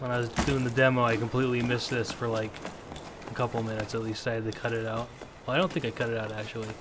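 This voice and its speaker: Someone soft-spoken talks at a very fast pace over noticeable background noise. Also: man. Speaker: gaming video creator. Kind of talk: let's play commentary.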